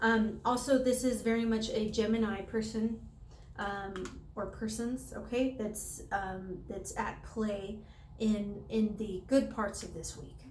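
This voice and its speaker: Fairly even intonation with big swings in loudness, in audible room echo. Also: woman. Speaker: tarot reader. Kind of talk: tarot reading to camera. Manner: halting, many fillers.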